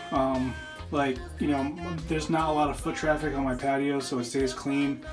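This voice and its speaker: Speech at a moderate pace with clear music in the background. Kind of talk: tutorial. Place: bathroom. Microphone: phone near.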